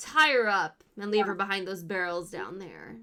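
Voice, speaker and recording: A woman puts on a gruff, raspy character voice at medium pitch and a moderate pace. Her pitch varies in an ordinary way, while her loudness swings widely. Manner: commanding.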